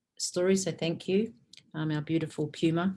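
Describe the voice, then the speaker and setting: A woman with a New Zealand accent, fairly low pitch, fairly even intonation and a moderate pace. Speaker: spiritual teacher and event host. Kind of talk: online event hosting. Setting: video call.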